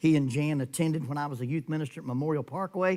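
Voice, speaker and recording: A man with an American accent talks at a fairly quick pace in an unremarkable speaking voice. His pitch is fairly high, with ordinary variation. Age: 60s. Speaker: preacher. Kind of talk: sermon. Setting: church.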